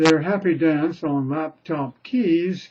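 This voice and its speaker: A man mumbles at a very slow pace. His pitch is high. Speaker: poet reading own work. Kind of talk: poetry reading. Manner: mumbling.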